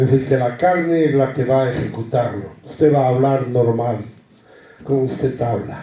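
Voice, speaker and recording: Audible room echo surrounds a man speaking at a moderate pace and medium pitch, his loudness very even and intonation fairly even. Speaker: Bible study teacher. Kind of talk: Bible study teaching.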